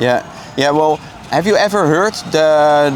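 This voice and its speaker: A man with a Dutch accent and a fairly high pitch speaks at a fairly slow pace with ordinary pitch variation, over noticeable background noise. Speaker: street evangelist. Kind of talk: street evangelism conversation. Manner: hesitant, many fillers.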